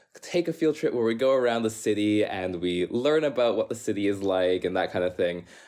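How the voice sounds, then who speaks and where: In a normal speaking voice, a man with a Canadian accent talks at a moderate pace with a fairly low pitch and ordinary pitch variation. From Canada. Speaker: urban planner. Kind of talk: casual interview.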